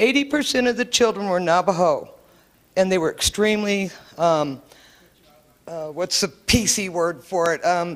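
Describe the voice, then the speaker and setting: With lively intonation, a woman speaks at a moderate pace and medium pitch, leaving long, frequent pauses. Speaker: member of the public. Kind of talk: public meeting comment. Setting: public meeting with microphone. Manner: loud.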